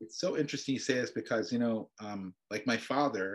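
With a plain, everyday voice, a man speaks at medium pitch and a moderate pace with ordinary pitch variation against a quiet background. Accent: American. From upstate New York (Adirondacks). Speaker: Torah scholar and professor. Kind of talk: casual chat.

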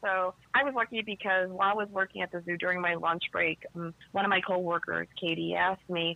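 A woman with a plain, everyday voice and an American accent speaks at a medium pitch and fairly quick pace, with fairly even intonation and hardly any pauses. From Chicago South Side. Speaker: tango dancer and teacher. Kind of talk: casual chat.

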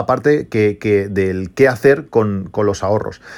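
A man speaks with ordinary pitch variation. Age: 40s. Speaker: tech podcast host. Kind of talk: casual solo podcast monologue. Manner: halting, many repetitions and fillers.

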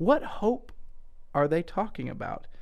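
This man talks with a Southern US accent. The recording is very clean, with a silent background.

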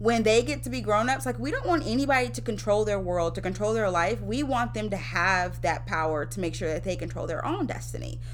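The speaker has a Mississippi accent. There is audible room echo. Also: woman. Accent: Southern US (Mississippi), audible. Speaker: teacher. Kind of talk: casual chat.

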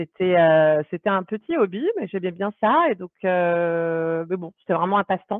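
At a fairly slow pace, a woman uses an ordinary speaking voice with a medium pitch and ordinary pitch variation. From France. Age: 30s. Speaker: product manager. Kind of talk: interview.

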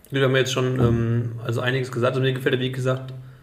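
In a room with audible echo, a man speaks in a monotone, flat intonation. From Germany, Rheingau. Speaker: wine podcast host. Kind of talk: casual interview with wine tasting. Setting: at a winery.

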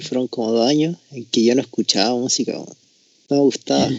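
Using a normal speaking voice, a man talks at a medium pitch with ordinary pitch variation. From Chile, Tocopilla. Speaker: podcast co-host. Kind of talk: casual chat.

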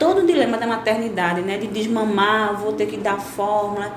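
This woman's fairly high voice moves at a moderate pace while audible room echo and noticeable background noise fill the recording. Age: 30s. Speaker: biologist and entrepreneur. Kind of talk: interview.

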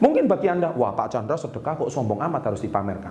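Noticeable background noise surrounds a man's voice. His pitch swings very widely. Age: 40s. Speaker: business motivator and YouTuber. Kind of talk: motivational vlog monologue. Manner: enthusiastic.

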